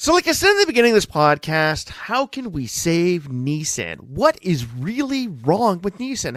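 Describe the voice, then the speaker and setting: A man at a moderate pace with hardly any pauses, very wide pitch swings and big swings in loudness. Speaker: podcast host. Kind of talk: solo podcast commentary. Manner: casual.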